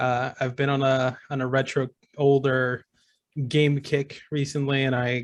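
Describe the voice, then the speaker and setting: A man speaks at a medium pitch in a monotone, flat delivery. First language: not English. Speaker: tabletop game player and streamer. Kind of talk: casual self-introduction. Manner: halting, many repeats.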